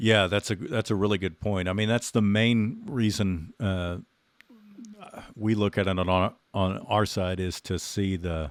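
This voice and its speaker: The speaker has a slight Southern US accent. Delivery is fairly slow, with fairly even intonation. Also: man, fairly low pitch for a man. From Texas. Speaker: podcast host. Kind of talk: podcast interview.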